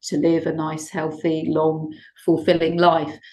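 A woman speaks in a plain, everyday voice, fairly low in pitch, at a moderate pace. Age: 60s. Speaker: shiatsu therapist and teacher. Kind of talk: interview conversation.

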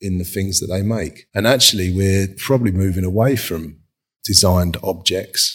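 Man's very deep, low voice with fairly even intonation. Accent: London. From London, Hackney/Dalston. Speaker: furniture designer. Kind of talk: casual interview. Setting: video call.

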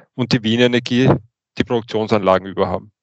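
Here a man has an unremarkable speaking voice. His medium pitch carries fairly even intonation. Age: 40s. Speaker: utility engineer and manager. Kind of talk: interview. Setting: studio.

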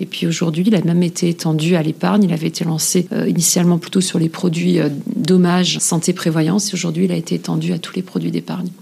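With hardly any pauses and a very fast pace, a woman speaks in a fairly low, monotone voice with flat intonation over noticeable background noise. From eastern France (Moselle/Alsace area). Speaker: corporate sustainability director. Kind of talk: interview. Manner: hesitant, many fillers and repetitions.

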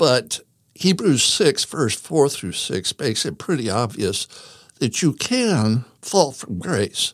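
Speaking at a very slow pace, a man makes very wide pitch swings. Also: medium pitch for a man, very clean recording, silent background. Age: 60s. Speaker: religion teacher. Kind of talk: casual chat.

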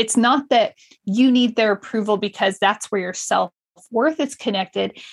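The speaker is a woman with a fairly high pitch. She keeps a moderate pace. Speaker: podcast host and multifamily real estate investor. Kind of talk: solo podcast monologue. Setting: home studio. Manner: animated.

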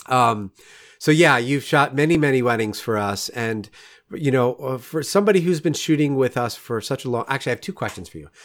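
An American man with a normal speaking voice talks at medium pitch and a fairly quick pace, with lively intonation and an American accent. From New York, Rockland County. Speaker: podcast host, photographer. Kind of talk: casual interview.

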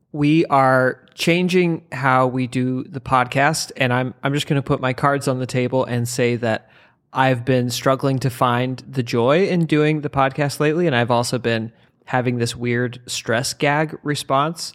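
At a fairly slow pace, a man with an ordinary speaking voice talks at a medium pitch with fairly even intonation. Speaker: comedian podcast co-host. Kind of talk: casual comedic banter about a book. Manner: joking, laughs often.

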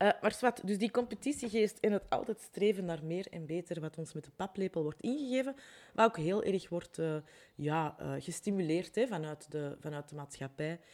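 With a Flemish accent, a woman speaks at a moderate pace and medium pitch. Her intonation is lively. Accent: Flemish Dutch. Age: 40s. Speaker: life coach and podcast host. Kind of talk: solo podcast monologue. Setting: home recording with window open.

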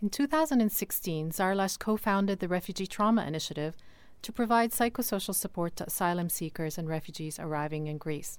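The woman's voice is medium-pitched, with lively intonation at a fairly quick pace. It's a very clean recording with a silent background. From Lebanon, moved to Canada at 16. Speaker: podcast host. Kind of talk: podcast interview.

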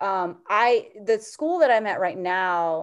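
Against a quiet background, a woman with an American accent speaks in an animated tone at a medium pitch. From US, Korean American. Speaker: choir teacher and video creator. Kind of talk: casual interview chat. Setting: remote podcast interview. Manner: animated, frequent laughter and fillers.

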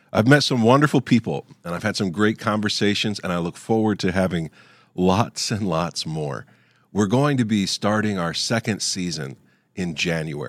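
Over a very clean recording with a silent background, a man with an unremarkable speaking voice and fairly low pitch talks at a moderate pace with lively intonation. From Ohio, US. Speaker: podcast host, Bible teacher. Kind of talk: heartfelt farewell and benediction, closing a season. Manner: warm, sincere, gently solemn.

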